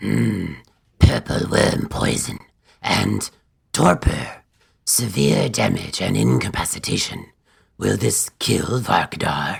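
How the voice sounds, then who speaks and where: A man's put-on character voice, very deep and low, with very wide pitch swings, a fairly slow pace and long, frequent pauses. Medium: audio drama.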